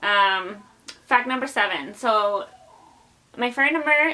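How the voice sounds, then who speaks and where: This woman's intonation is lively. She talks with a Spanish accent. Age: 20s. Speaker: YouTuber. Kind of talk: casual vlog chat. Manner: casual, filler-heavy.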